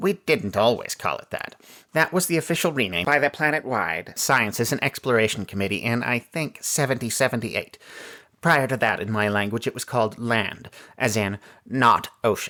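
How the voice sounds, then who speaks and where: Putting on a character voice, a man speaks at a medium pitch and a moderate pace. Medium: read story. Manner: indifferent, disdainful.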